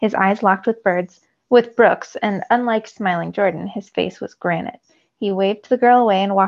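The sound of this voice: The voice is an unforced reading voice with ordinary pitch variation. The background is quiet.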